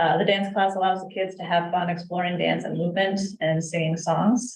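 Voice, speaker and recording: A woman speaks at a moderate pace in a fairly low, somewhat breathy voice. Her intonation stays flat and monotone. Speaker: youth program director. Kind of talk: department report at council meeting. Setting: city council meeting.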